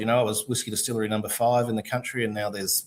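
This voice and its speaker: A man with an Australian accent talks at a very fast pace. His pitch is medium and his intonation fairly even. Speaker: distillery founder. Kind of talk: casual chat.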